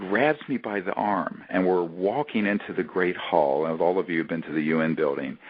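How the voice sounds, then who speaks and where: Pitched very deep and low, a man with an American accent talks at a moderate pace. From US South. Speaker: emergency doctor and UFO disclosure advocate. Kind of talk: casual chat. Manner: animated.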